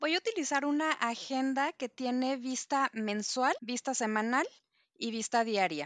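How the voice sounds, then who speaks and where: A woman with a high pitch and ordinary pitch variation speaks fairly slowly, with a dry, close sound with no echo and a quiet background. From Mexico City. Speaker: planner enthusiast. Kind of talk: casual chat.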